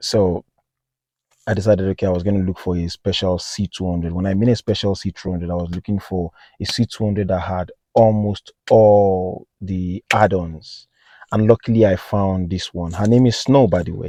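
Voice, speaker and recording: A dark, mellow tone with a non-native accent at a moderate pace, in a dry, close sound with no echo. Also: man, very deep, low pitch for a man. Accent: noticeable non-native accent, self-noted. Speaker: car enthusiast vlogger. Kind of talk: casual vlog. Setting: outdoors on a hilltop. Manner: hesitant, many fillers.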